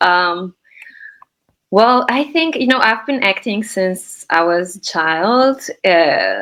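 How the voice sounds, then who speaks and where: A woman speaks with a Slovenian accent. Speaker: actress and acting teacher. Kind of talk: interview. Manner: hesitant, many fillers.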